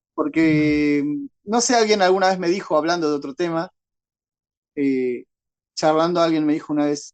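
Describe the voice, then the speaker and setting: This man's voice sits at a fairly high pitch with ordinary pitch variation. His speech has long, frequent pauses. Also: moderate pace. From Paraguay. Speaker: horror writer and secondary school teacher. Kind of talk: interview answer.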